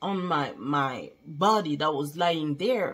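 Here is a woman with a French accent. She speaks at a very slow pace. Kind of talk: testimony. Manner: halting.

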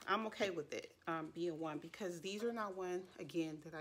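Over light background noise, a woman with an unremarkable speaking voice talks at a fairly quick pace in a fairly low pitch. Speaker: beauty vlogger. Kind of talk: casual product review chat. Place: home room. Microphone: phone near.

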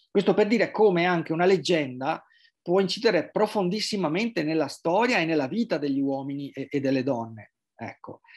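Over a quiet background, a man talks at a fairly quick pace in a high pitch. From Venice, Italy; Italy. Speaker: journalist and writer; journalist, interviewee. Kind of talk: interview. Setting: remote video call. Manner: halting, many repetitions and fillers. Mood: calm, reflective. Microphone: video call.

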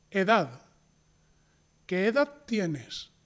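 A man speaks at a high pitch. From Spain. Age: 40s. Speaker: Spanish teacher. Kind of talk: tutorial. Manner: slow, clear.

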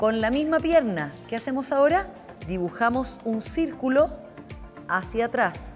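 A woman's fairly slow speech over faint background music. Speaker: fitness instructor. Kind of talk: tutorial. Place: gym.

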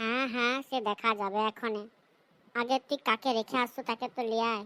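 Using a cartoonish character voice, a woman speaks at a fairly high pitch in a monotone, flat way, on a very clean recording with a silent background and a dry, close sound with no echo. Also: moderate pace. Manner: shouting, coarse scolding.

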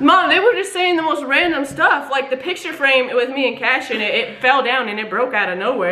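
Talking at a very fast pace, a woman uses a raised, projected voice with very wide pitch swings. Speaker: prank caller vlogger. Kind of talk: casual vlog chat. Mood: playful, suppressing laughter. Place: home room. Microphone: camera far.

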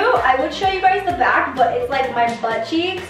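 Clear music plays in the background as a woman speaks with audible room echo. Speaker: vlogger showing a costume. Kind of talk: casual vlog chat. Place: bathroom. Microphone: camera far.

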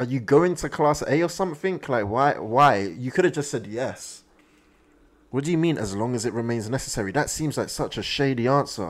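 Speaking at a fairly quick pace, a man uses lively intonation. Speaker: anime reaction streamer. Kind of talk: casual reaction commentary. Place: home room. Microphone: studio mic.

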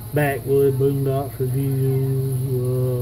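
A man of medium pitch speaks with a Southern US accent over noticeable background noise. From US South. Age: old. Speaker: YouTuber; YouTuber doing tag video. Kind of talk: casual vlog monologue. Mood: amused, relaxed. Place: home room. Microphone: phone near.

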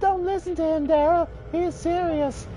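Someone uses a put-on character voice at an extremely high pitch. Background noise is clear. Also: moderate pace. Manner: practiced.

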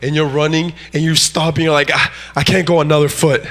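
Fairly high-pitched man at a moderate pace, with noticeable background noise. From Mexico, moved to US in fifth grade. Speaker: guest preacher. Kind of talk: sermon. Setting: church. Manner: animated.

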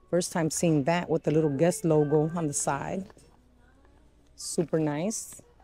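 Very slow and monotone, the flat voice comes through dry with no echo as faint music plays in the background. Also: woman. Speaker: shopping vlogger. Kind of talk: casual vlog chat. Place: shop.

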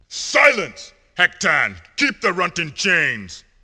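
A man speaks slowly in a put-on character voice, pitched high with very wide swings, his bright, sharp tone carrying a slightly husky edge over a very clean recording with a silent background.

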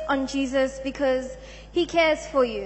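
Fairly slow speech from a woman. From South Africa. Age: young. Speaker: church congregant giving testimony. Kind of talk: testimony. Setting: church. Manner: halting. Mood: subdued, sombre. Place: church. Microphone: handheld.

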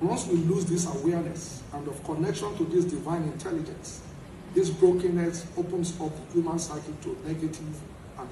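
A man's high, monotone voice with flat intonation at a moderate pace, over noticeable background noise. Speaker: speaker at a lecture event. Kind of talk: formal speech. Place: hall. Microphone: podium.

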